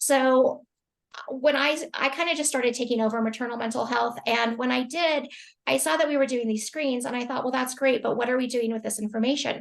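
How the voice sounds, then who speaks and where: Talking at a fairly quick pace, a woman uses a high pitch and fairly even intonation. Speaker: healthcare quality professional. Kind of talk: webinar presentation. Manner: fast.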